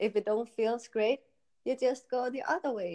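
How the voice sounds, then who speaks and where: Dark, mellow tone from a woman with a Danish accent, at a fairly slow pace. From Denmark, countryside. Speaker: electropop singer and model. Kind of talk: interview.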